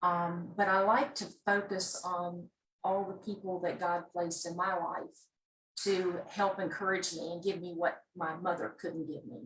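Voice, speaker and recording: A woman with a Southern US accent, fairly slow pace, fairly even intonation and big swings in loudness. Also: medium pitch for a woman. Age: 60s. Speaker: memoir author. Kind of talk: interview. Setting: video call.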